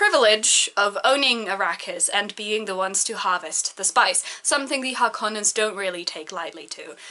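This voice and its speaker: Over noticeable background noise, a woman talks at a fairly quick pace in a fairly high voice with ordinary pitch variation. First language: not English. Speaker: book reviewer. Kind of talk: rant book review. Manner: animated.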